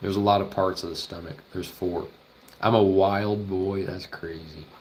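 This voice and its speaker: Speaking at a moderate pace with an American accent, a man keeps a monotone, flat intonation at a fairly low pitch while his loudness swings widely. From Oklahoma. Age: 20s. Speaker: veterinary student streamer. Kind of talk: casual livestream chat while studying. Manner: casual, thinking aloud.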